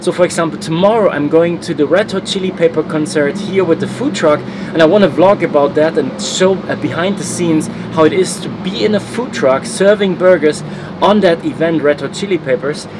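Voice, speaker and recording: With a German accent, a man talks at a fairly quick pace in a high voice over noticeable background noise. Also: ordinary pitch variation. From Germany. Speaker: travel vlogger. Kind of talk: motivational vlog talk.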